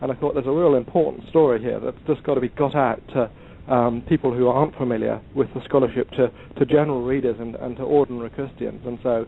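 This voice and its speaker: A man with an English accent talks at a very fast pace. His pitch is medium and his intonation fairly even. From England. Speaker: historian of science and author. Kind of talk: podcast interview. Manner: halting, many ums and uhs.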